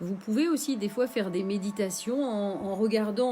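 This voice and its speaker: A woman at a medium pitch, fairly slow in pace, with ordinary pitch variation and music in the background. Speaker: meditation teacher. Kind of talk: live stream guided meditation. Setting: live stream. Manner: halting, many fillers.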